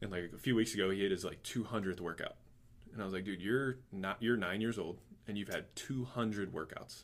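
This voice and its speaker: In an ordinary speaking voice, a man with a fairly low pitch and ordinary pitch variation moves at a moderate pace. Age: 20s. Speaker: podcast host and athletic trainer. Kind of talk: casual interview chat.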